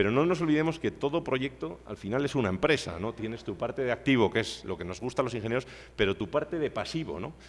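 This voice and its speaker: A man at medium pitch, very wide pitch swings and a very fast pace, on a very clean recording with a silent background. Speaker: civil engineer, seminar speaker. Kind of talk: lecture.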